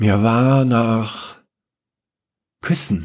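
Lively in intonation, a man talks at a medium pitch. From Upper Bavaria. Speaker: podcast host and author. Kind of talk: reading aloud a short story.

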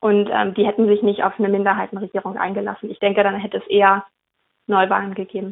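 Talking at a very fast pace, a woman keeps a medium pitch with monotone, flat intonation. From northern Germany, Schleswig-Holstein west coast. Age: 20s. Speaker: member of parliament. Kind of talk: interview. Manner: hesitant, many fillers.

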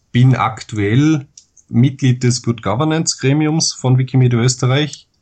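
This voice has an Austrian accent and a dark, mellow tone that is somewhat breathy. Its pitch variation is ordinary. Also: man. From Austria, Vorarlberg (Dornbirn). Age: 20s. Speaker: Wikipedia author, law student. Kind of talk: interview.

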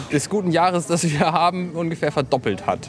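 Over noticeable background noise, a man talks with fairly even intonation at a fairly high pitch. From northern Germany, Buxtehude. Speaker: podcaster. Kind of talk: casual chat.

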